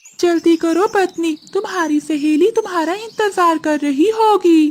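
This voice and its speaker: In a cartoonish character voice, the speaker talks at a fairly slow pace with an extremely high pitch. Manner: showy, self-assured.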